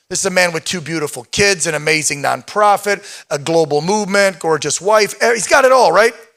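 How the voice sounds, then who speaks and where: Raised and projected, the voice carries a bright, sharp tone. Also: man. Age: 50s. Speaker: event emcee and show host. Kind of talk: live event emceeing.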